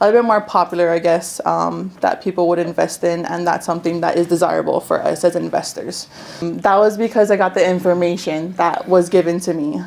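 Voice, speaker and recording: Fairly low-pitched woman in a Hawaiian accent, at a fairly quick pace with hardly any pauses, fairly even intonation and noticeable background noise. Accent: Hawaii local English. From Hawaii, Big Island (Hilo side). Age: 20s. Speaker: real estate investor. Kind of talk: workshop testimony. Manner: hesitant, many fillers.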